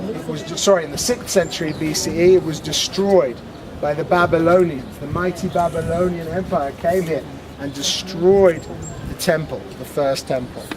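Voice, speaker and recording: A British accent at a moderate pace, fairly even in intonation, over noticeable background noise. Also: man, high pitch for a man. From Britain. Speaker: tour guide. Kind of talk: guided tour talk. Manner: loud.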